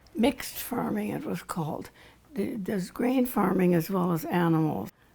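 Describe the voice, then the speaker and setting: Over noticeable background noise, a woman speaks at a moderate pace. Her medium pitch moves in very wide swings. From southern Manitoba, Canada. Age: 80s+. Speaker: retired farm girl recounting childhood. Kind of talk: interview answer, reminiscing. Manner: casual, candid.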